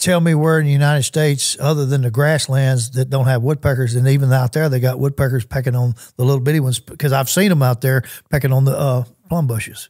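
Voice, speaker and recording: Speaking at a fairly quick pace, a man with a medium pitch sounds somewhat breathy, his intonation fairly even and his loudness very even. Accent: Southern US. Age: 60s. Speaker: hunter. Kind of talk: casual chat. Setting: studio.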